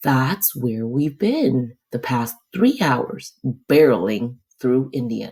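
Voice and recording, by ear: In a quiet setting, the speaker reads aloud in a natural voice.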